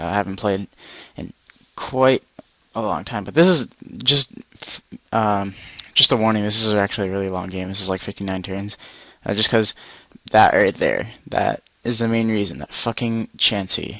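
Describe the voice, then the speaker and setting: A soft-spoken man with a fairly low, bright and sharp voice, ordinary pitch variation, a moderate pace and long, frequent pauses. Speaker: gaming YouTuber. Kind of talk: gameplay commentary. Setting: at home at night, parents asleep upstairs. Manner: quiet, soft-spoken; hesitant, many fillers.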